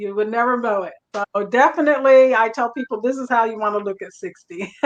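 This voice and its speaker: An unremarkable speaking voice from a woman, fairly high in pitch with ordinary pitch variation, big swings in loudness and a fairly quick pace. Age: 60s. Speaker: hairstylist entrepreneur. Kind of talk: panel discussion.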